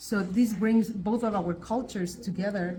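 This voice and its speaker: In a Spanish accent, a woman speaks with a medium pitch and ordinary pitch variation. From Basque Country, Spain. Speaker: linguist, professor. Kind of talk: interview. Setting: on location.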